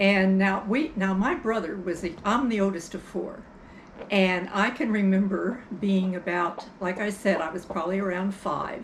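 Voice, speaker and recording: A woman speaks at a moderate pace with a medium pitch and ordinary pitch variation, with audible room echo and noticeable background noise. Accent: American. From US Midwest, Brighton, Illinois. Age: 80s+. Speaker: storyteller. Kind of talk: casual chat.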